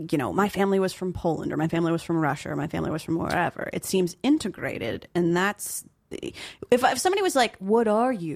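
An unremarkable speaking voice from a woman, fairly low in pitch, with an American accent, on a very clean recording with a silent background. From New Jersey, Flemington. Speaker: podcast host. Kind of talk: casual interview chat.

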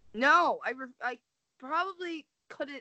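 A woman is speaking. Her pace is very slow. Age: 20s. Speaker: podcast co-host. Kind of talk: casual chat.

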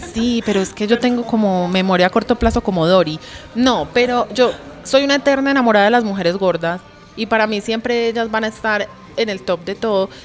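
Music plays in the background while a woman talks with ordinary pitch variation. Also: fairly high pitch for a woman. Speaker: activist. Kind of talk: casual chat. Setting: recorded at a clothing fair with crowd.

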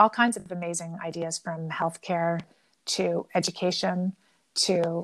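A voice with a Canadian accent speaks in a flat monotone. The recording is very clean, with a silent background and a dry, close sound with no echo. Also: woman. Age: 50s. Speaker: entrepreneur. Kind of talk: interview.

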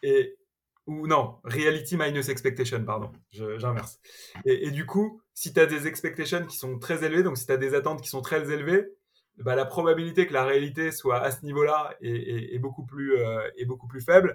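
This man has a fairly high, somewhat breathy voice with ordinary pitch variation. He talks at a moderate pace, with big swings in loudness. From Paris suburbs, France. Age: 30s. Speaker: tech entrepreneur. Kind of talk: interview. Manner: hesitant, frequent repetitions and fillers.

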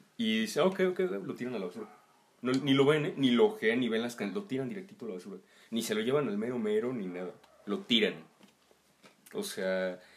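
This man talks at a fairly quick pace, his pitch swinging very widely, with long pauses coming often. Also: medium pitch for a man. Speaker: musician. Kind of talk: casual chat.

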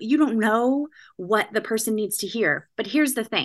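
A woman speaks with a Californian accent at a moderate pace. Her fairly high voice has lively intonation against a quiet background. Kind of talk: podcast interview.

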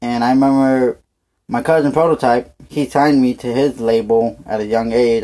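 A man talks with a dark, mellow tone. His pitch moves very little.

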